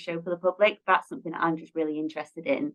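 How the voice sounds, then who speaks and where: A woman speaks in a fairly low voice. She has a Lancashire accent. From northern England, Blackpool. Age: 20s. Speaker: production administrator. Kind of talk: interview.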